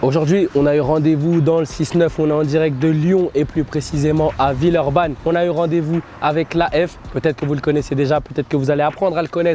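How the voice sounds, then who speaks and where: Moderate pace over noticeable background noise. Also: man. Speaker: hip-hop show host. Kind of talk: casual interview. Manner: energetic.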